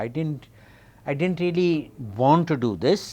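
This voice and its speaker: A man speaks with lively intonation at a fairly high pitch. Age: 60s. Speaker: actor. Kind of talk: interview. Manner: hesitant, code-switching.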